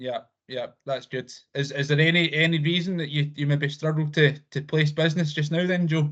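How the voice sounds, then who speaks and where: A man with a Scottish accent speaks fairly quickly in a fairly high pitch, his intonation monotone and flat. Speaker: insurance provider representative. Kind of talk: business presentation on a video call. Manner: fast.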